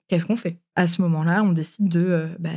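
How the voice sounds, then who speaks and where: A woman speaks at a fairly low pitch with a dark, mellow tone and fairly even intonation. The recording is very clean, with a silent background. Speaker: podcast guest telling her love story. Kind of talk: personal storytelling interview. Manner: hesitant, many fillers.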